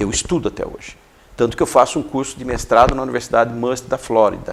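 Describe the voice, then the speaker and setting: A man speaks at a very fast pace, his loudness swinging widely. Noticeable background noise runs underneath. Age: 60s. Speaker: educator and coach. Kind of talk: interview.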